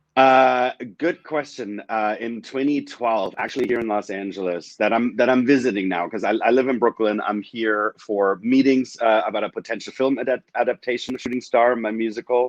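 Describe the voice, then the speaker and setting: With hardly any pauses, a man with a German accent talks in fairly even intonation, the sound dry and close with no echo. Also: medium pitch for a man, moderate pace. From Germany, small town. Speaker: adult film performer and musical creator. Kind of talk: casual video interview.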